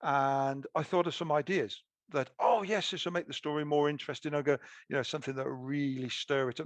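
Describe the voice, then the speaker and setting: A man's fairly high, very fast voice with a British accent and ordinary pitch variation, dry and close with no echo over a quiet background. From UK. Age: 60s. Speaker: author. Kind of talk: interview. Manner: halting.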